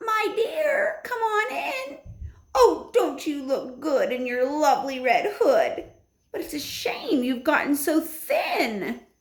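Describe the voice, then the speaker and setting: A woman uses a put-on character voice with an extremely high pitch, talking at a fairly slow pace. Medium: read story. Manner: wheedling.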